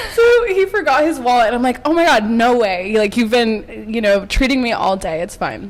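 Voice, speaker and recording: A woman speaks at a moderate pace with hardly any pauses, her pitch high and her tone animated. Her intonation is lively, and noticeable background noise runs underneath. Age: 20s. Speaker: podcast host. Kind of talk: casual chat.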